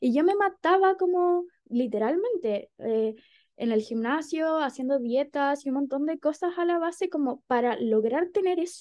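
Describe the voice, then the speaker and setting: With a Chilean accent, the speaker uses lively intonation at a fairly slow pace. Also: woman, high pitch for a woman. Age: 20s. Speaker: psychologist and feminist activist. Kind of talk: casual chat.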